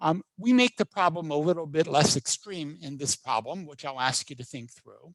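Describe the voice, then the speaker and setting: A man with a plain, everyday voice, fairly high pitch, and a moderate pace. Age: 60s. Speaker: professor. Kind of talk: lecture.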